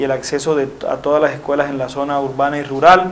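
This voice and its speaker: Over light background noise, the voice moves at a fairly quick pace with monotone, flat intonation. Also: man. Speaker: interviewee. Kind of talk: interview answer. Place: studio. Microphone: lapel.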